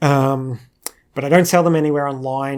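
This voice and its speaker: Here a man speaks with an Australian accent. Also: very clean recording, silent background. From Australia, Queensland. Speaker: animator. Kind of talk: Q&A monologue. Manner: casual, hesitant with fillers.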